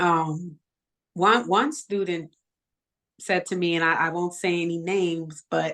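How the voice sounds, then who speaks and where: In a New York accent, a woman speaks very slowly in a fairly low pitch. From Bronx, New York. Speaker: educator, nonprofit founder. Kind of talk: interview answer.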